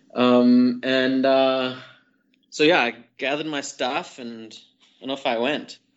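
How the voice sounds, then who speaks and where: A man's medium-pitched, monotone, flat delivery at a very slow pace, broken by long, frequent pauses. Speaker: skydiving drop zone owner. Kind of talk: casual chat.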